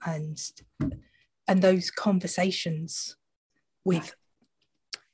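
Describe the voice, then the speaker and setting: Somewhat breathy and fairly low in pitch, a woman speaks very slowly with fairly even intonation. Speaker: podcast host. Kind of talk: casual chat.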